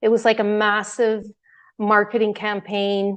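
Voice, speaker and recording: Over a quiet background, a woman speaks at a moderate pace and medium pitch in a monotone, flat way. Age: 60s. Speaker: devotee giving testimony. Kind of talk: testimony.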